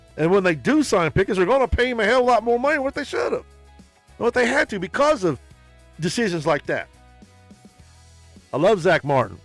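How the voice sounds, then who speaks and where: A man speaks over music playing in the background. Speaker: sports podcast host. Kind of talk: casual talk to camera.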